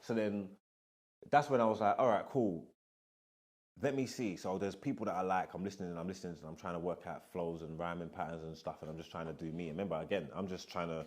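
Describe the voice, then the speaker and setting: Very fast and with an East London accent, a man speaks in a very deep, low voice with ordinary pitch variation. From East London (Hackney). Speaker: rapper and podcast host. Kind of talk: casual interview chat. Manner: animated.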